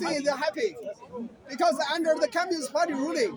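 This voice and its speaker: Extremely high-pitched and animated, a man speaks with ordinary pitch variation over crowd noise in the background. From China, Beijing. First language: Mandarin Chinese. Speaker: Chinese dissident speaking in street debate. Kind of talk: street debate. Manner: repetitive, animated.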